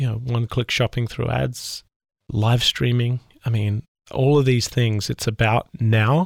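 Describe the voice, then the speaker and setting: In an Australian accent, a man talks at a fairly slow pace on a very clean, dry, close recording with a silent background and no echo. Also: medium pitch for a man, fairly even intonation. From Australia, Adelaide. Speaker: business founder and CEO. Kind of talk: interview.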